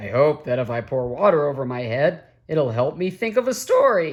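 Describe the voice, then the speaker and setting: A woman puts on a raspy character voice pitched very deep and low. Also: moderate pace. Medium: read story. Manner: slow, grumbling.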